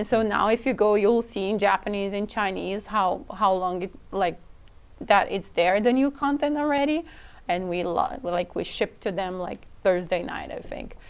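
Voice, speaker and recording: A woman speaks with a non-native accent. Her pitch sits in the middle range. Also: ordinary pitch variation, moderate pace. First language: not English. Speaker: product team member. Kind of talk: casual chat.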